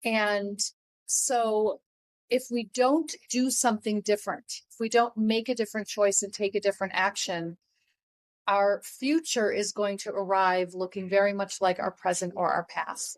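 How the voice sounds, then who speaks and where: A woman uses an ordinary speaking voice at medium pitch and a moderate pace, with big swings in loudness. The recording is dry and close, with no echo. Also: ordinary pitch variation. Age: 60s. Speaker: life coach and author. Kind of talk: interview.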